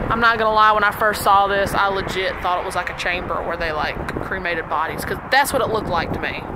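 Amid noticeable background noise, a woman talks very fast at a medium pitch with ordinary pitch variation. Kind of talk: vlog walkthrough. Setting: outdoors. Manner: casual.

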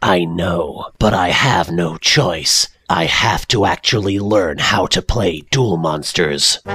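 A man speaks in a very deep, low, raspy voice at a fairly slow pace. His loudness stays very even, with hardly any pauses. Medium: fan dub. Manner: pompous, boastful, melodramatic.

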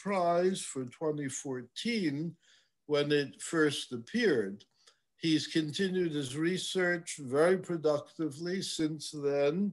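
A man talks at a very slow pace. The background is quiet. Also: ordinary pitch variation. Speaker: host introducing a lecture speaker. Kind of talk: formal introduction. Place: home room. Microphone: webcam.

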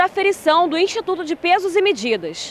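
This woman holds a moderate pace. Her voice comes through dry, with no echo. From Brazil. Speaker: TV news reporter. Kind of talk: news report narration. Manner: formal. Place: street. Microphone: handheld.

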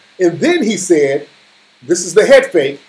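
A man is speaking at a moderate pace. His intonation is lively. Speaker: livestream commentator. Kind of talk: casual livestream commentary. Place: home room. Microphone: phone near.

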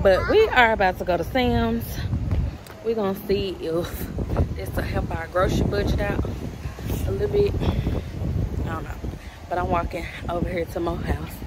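A woman talks at a moderate pace with long, frequent pauses. The sound is dry with no echo, over loud background noise. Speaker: mom vlogger. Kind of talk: casual vlog chat. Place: street. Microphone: phone near.

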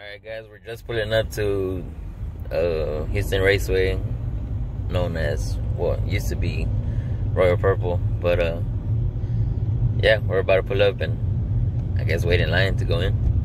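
A man at a fairly slow pace, big swings in loudness, noticeable background noise, and a dry sound with no echo. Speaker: vlogger driving family. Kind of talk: casual vlog chat. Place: car. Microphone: phone near.

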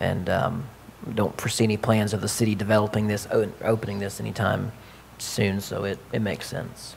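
A man talks fairly quickly in a fairly low voice with monotone, flat intonation. Light background noise sits behind him. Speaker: city council member. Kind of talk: council meeting discussion. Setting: city council chamber. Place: meeting room. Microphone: podium.

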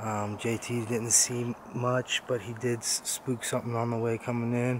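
Noticeable background noise accompanies a man speaking with monotone, flat intonation in a dry sound with no echo. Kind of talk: casual vlog chat. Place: forest. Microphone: phone near.

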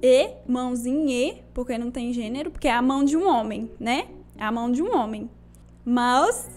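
A woman speaks at a fairly slow pace in a high pitch. Her pitch varies in an ordinary way, with faint music in the background. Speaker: content creator. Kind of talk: casual tier-list commentary. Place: home room. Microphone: handheld.

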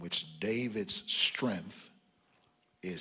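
A man talks at a very slow pace. His pitch varies an ordinary amount. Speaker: preacher. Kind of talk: sermon. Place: church. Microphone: handheld.

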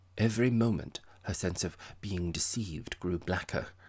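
The pitch moves with ordinary variation. It comes from a natural reading voice.

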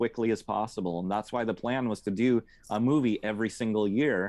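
The background is quiet and the sound is dry, with no echo. A man speaks at a moderate pace, his pitch varying in an ordinary way. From rural Oregon, Mid Valley; Oregon. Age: 40s. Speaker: metal drummer and tour booker; podcast guest. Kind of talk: casual interview chat. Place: home room. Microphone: earbuds.

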